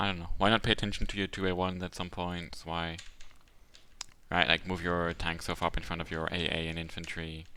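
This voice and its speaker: A mumbling man with a very deep, low pitch, a fairly quick pace and monotone, flat intonation. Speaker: game commentator. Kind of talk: live commentary.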